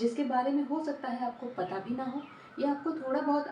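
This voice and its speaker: Moderate pace from a high-pitched woman with ordinary pitch variation, over noticeable background noise. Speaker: tarot reader. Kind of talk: tarot reading to camera.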